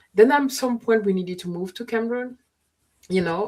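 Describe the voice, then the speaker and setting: A woman's somewhat breathy voice, its pitch varying in an ordinary way. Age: 50s. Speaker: panelist sharing personal story. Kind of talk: casual chat. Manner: halting, with frequent false starts.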